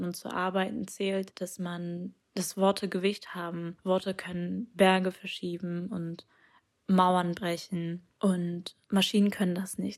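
At a fairly slow pace, a woman of medium pitch speaks in a flat monotone, captured in a very clean recording with a silent background. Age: young. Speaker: poet. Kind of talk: testimony.

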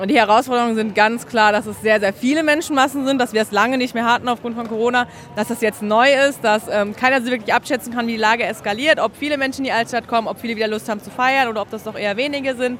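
A very fast, fairly high-pitched woman's voice with fairly even intonation over noticeable background noise. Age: 20s. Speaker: paramedic. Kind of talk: on-the-job interview. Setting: outdoors at a carnival crowd.

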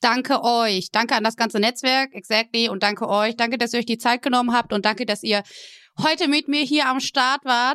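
This woman has a fairly high pitch and an ordinary speaking voice, with ordinary pitch variation at a moderate pace. The sound is dry and close with no echo, on a very clean recording with a silent background. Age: 20s. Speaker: podcast host and partner manager. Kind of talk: casual interview.

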